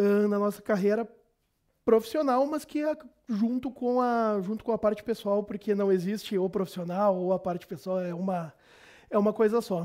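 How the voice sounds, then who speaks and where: In a very clean recording with a silent background, a man with a high pitch and a dark, mellow tone speaks at a moderate pace with ordinary pitch variation. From southern Brazil, Caxias do Sul (Rio Grande do Sul). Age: 40s. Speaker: financial controller. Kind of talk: interview. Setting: studio with chroma key. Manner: hesitant with repetitions.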